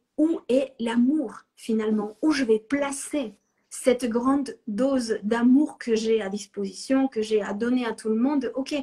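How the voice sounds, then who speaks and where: A woman's high, dark, mellow voice with a non-native accent and ordinary pitch variation. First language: not French (speaking French). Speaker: astrologer. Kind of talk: live-stream discussion. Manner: halting, thinking aloud.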